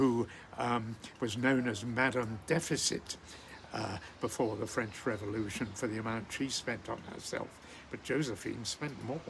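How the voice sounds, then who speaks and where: Speaking at a fairly slow pace, a man with a medium pitch keeps his intonation fairly even over noticeable background noise. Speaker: poetry channel host. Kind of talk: casual history talk to camera. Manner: calm.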